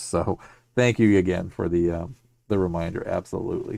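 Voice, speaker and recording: Putting on a character voice, a man sounds raspy at a fairly low pitch and a moderate pace. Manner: low-energy, drained.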